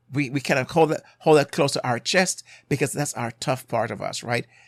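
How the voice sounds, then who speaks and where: A man's fairly high-pitched voice carries lively intonation. The sound is dry and close with no echo, in a very clean recording with a silent background. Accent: Jamaican. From Jamaica. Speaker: marriage and family therapist, podcast host. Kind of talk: podcast monologue, advice. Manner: conversational, with hesitations.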